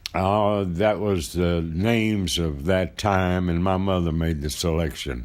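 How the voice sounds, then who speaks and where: Speaking at a fairly slow pace with very even loudness, a man with a very deep, low voice is heard in a room with audible echo. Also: ordinary pitch variation, hardly any pauses. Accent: American. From Texas, Fort Worth. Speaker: oral history interviewee. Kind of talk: interview.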